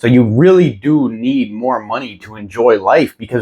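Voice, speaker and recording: A man's unremarkable speaking voice at medium pitch, with lively intonation. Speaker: self-help youtuber. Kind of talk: reading aloud with commentary. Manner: casual, conversational.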